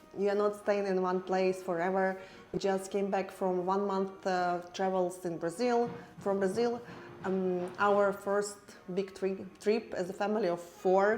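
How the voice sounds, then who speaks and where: The speaker has a non-native accent and talks at a fairly slow pace in a monotone, flat intonation. Room echo is audible. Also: woman, medium pitch for a woman, very even loudness. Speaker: family travel vlogger. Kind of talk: casual vlog narration. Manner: halting, with fillers.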